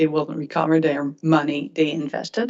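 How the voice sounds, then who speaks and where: The speaker talks at a moderate pace with a Quebec accent. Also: woman. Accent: French-Canadian accent in English. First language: French. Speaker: regulatory board member. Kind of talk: questioning at a hearing. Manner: halting.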